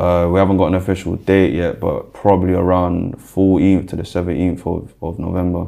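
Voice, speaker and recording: A man with a very deep, low pitch speaks in a flat monotone at a moderate pace, with hardly any pauses. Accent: South London. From South London (Brixton). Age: 20s. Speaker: rapper. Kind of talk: interview, personal story.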